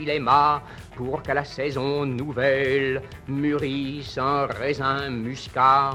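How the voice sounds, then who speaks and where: A man speaks very slowly. There is music in the background. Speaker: poet reading his own poem. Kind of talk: poetry reading. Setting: old archival recording, voice over music.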